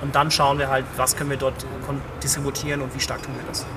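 Noticeable background noise and audible room echo surround this man as he talks very quickly. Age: 30s. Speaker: head of digital at a cookware manufacturer. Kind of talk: interview. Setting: outdoors at a trade conference.

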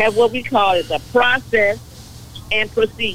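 Noticeable background noise sits behind a woman with an American accent. She speaks at a moderate pace in a fairly high voice. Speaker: city council member. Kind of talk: call-in radio talk. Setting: phone call.

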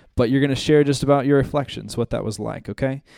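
Over a silent background in a very clean recording, a man speaks at medium pitch with a dark, mellow tone. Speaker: ministry school staff member. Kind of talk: announcements and prayer. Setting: church classroom.

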